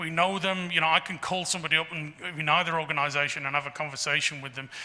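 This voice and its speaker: A man with an English accent, fairly high in pitch, monotone and flat in intonation at a very fast pace, over noticeable background noise. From England. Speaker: geological survey director. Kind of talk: Q&A after a lecture. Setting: talk to a society audience. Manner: halting with many fillers.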